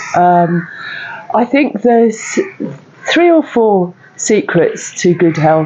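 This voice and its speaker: A woman's very slow, fairly high-pitched speech with very wide pitch swings, very even loudness, long, frequent pauses and noticeable background noise. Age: 60s. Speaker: stand-up paddle boarder. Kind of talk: interview answer.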